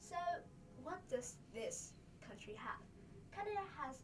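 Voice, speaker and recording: With audible room echo, a woman speaks with very wide pitch swings. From Vietnam. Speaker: student presenter. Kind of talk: class presentation. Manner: halting.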